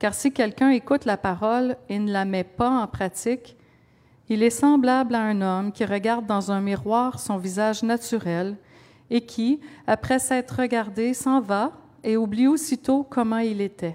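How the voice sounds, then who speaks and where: This woman has an unremarkable speaking voice, fairly high in pitch. She talks at a fairly slow pace with ordinary pitch variation. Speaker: scripture reader. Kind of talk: reading aloud.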